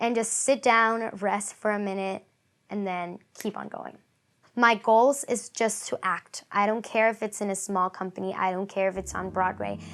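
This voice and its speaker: A woman with a Spanish accent speaks with fairly even intonation in a very clean recording with a silent background. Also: medium pitch for a woman, moderate pace. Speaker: acting student. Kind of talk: interview testimony.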